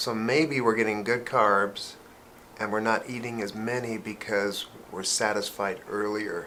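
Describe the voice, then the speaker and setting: A man speaks at a fairly slow pace with fairly even intonation and a fairly low pitch, and audible room echo surrounds his voice. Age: 50s. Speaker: pharmacist. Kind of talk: casual chat.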